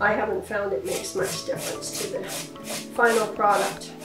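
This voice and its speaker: Clear music plays in the background. A woman talks at a fairly slow pace. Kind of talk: tutorial. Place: kitchen.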